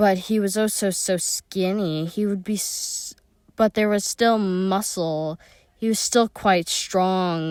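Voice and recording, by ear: Text read aloud in a natural voice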